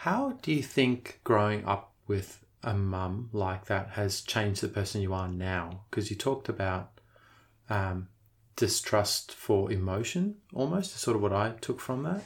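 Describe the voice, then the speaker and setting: A man with an Australian accent speaks at a fairly slow pace in a fairly low, somewhat breathy voice with ordinary pitch variation. The recording is very clean, with a silent background. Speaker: podcast host. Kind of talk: interview. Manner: hesitant, with fillers.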